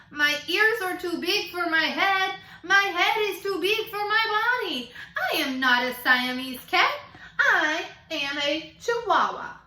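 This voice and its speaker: In a put-on character voice with a Spanish accent, a woman speaks at an extremely high pitch with very wide pitch swings, at a fairly slow pace, and an audible echo can be heard. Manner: playful, comical.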